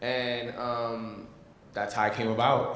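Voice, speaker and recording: Audible room echo and noticeable background noise around a man's medium-pitched voice. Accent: Bronx. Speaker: film cast member. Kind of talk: panel discussion.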